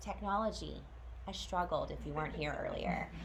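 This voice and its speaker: Audible room echo and noticeable background noise fill the recording. Through it, a woman talks at a moderate pace. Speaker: school transition specialist. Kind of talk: informational presentation to parents.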